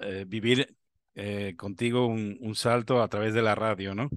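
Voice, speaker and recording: With a Spanish accent and fairly even intonation, the speech comes at a fairly slow pace in a dry sound with no echo over a quiet background. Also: man. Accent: Peninsular Spanish. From Spain. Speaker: amateur radio show host. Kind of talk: interview. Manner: halting, repetitive. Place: home room. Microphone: video call.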